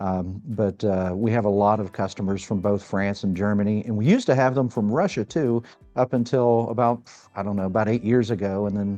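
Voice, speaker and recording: With music in the background, a man talks at a fairly quick pace, his fairly low voice keeping a fairly even intonation. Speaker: podcast host and flute maker. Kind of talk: interview conversation. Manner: halting, many fillers.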